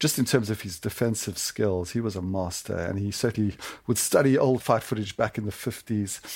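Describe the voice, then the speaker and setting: Talking at a fairly quick pace in a plain, everyday voice, a man keeps a fairly low pitch and ordinary pitch variation on a very clean recording with a silent background. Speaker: sportswriter. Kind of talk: interview. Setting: studio.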